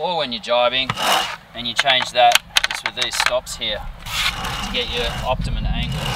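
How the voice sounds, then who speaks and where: Over loud background noise, a man speaks at a fairly slow pace with a dry sound and no echo. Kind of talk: tutorial. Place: boat. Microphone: phone near.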